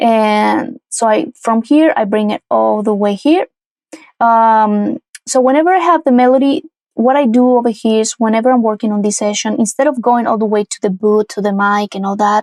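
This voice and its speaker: A woman with a Spanish accent speaks at a moderate pace in a fairly high voice with ordinary pitch variation. The sound is dry and close, with no echo. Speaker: music producer and singer. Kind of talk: tutorial. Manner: casual, with frequent fillers and restarts.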